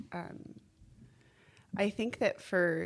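This woman has a medium pitch. She speaks at a very slow pace. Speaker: birth mother. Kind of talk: casual chat.

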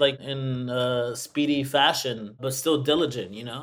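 A man talks at a moderate pace with a fairly high pitch. He has a plain, everyday voice. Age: 30s. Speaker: software designer, former divorce client. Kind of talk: interview testimony.

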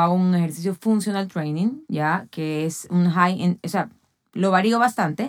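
Over a very clean, silent background, a woman talks at a fairly slow pace and medium pitch. She has a plain, everyday voice with lively intonation. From Ecuador. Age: 40s. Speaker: athlete and fitness trainer. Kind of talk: casual chat.

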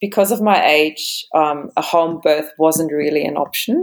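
A woman talks with a German accent. Her pace is moderate. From Germany. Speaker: yoga teacher and marine biologist. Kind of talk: interview about birth and yoga practice.

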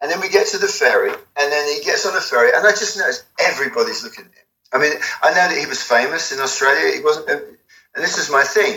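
Very rapid male speech with large jumps in volume. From England, near London (Watford). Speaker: album cover artist. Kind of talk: interview. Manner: halting.

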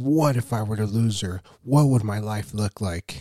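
Somewhat breathy and dark, mellow in tone, this man's voice sits fairly low in pitch. The sound is dry and close with no echo, in a very clean recording with a silent background. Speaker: faith podcast host. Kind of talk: casual devotional talk. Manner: casual, laughs often.

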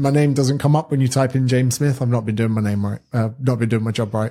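A man's dark, mellow voice at a medium pitch, with fairly even intonation. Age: 30s. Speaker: personal trainer and author. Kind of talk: casual chat.

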